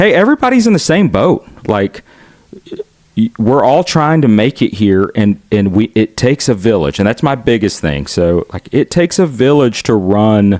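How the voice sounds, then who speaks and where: Speaking with a Southern US accent, the man swings his pitch very widely in a dry, close recording with no echo. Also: medium pitch for a man. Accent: Southern drawl. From US South, Chattanooga, Tennessee. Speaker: son of a Filipino immigrant doctor. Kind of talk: interview. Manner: halting, many fillers and restarts.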